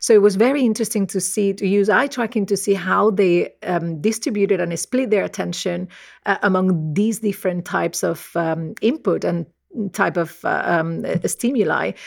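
Woman with a Spanish accent and ordinary pitch variation, in a very clean recording with a silent background. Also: medium pitch for a woman, moderate pace. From Spain. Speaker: professor. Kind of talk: interview about research.

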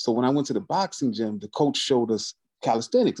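Against a quiet background, a man talks at a very fast pace with lively intonation. His medium-pitched voice has a dark, mellow tone, and the sound is dry and close with no echo. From US Northeast, Albany New York. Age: 30s. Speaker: motivational speaker and calisthenics athlete. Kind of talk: casual interview chat.

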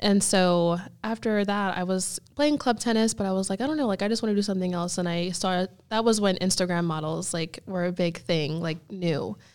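Here is a plain, everyday voice with an American accent and ordinary pitch variation. The recording is very clean, with a silent background. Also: woman, medium pitch for a woman. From US Northeast (Erie, Pennsylvania). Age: 20s. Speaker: bikini fitness competitor and coach. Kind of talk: casual interview chat.

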